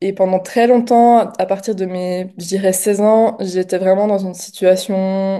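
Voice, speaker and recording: Her tone is dark and mellow, at a medium pitch. The woman speaks at a fairly slow pace with fairly even intonation. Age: 20s. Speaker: coaching client giving testimonial. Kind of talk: testimony interview. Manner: hesitant, many fillers.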